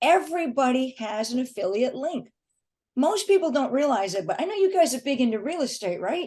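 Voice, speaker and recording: In a dark, mellow tone, a woman speaks at a high pitch and a fairly quick pace, with very wide pitch swings. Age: 60s. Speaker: affiliate marketer and author. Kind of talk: podcast interview.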